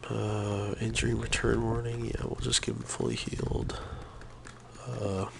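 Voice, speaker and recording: A man speaks at a fairly slow pace. Audible room echo and noticeable background noise are present. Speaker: gaming streamer. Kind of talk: live gameplay stream. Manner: quiet, keeping voice down; casual, with fillers.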